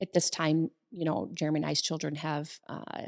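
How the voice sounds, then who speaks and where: A woman with vocal fry, a very deep, low pitch and monotone, flat intonation, in a dry, close sound with no echo and a very clean recording with a silent background. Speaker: co-host and salon business owner. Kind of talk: casual chat. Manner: halting, many repetitions.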